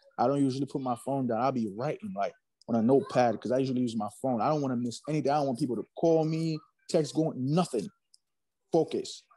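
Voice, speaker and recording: With music in the background, a man of medium pitch talks at a very fast pace with ordinary pitch variation. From Haiti. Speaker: rapper and hospital worker. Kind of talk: casual interview.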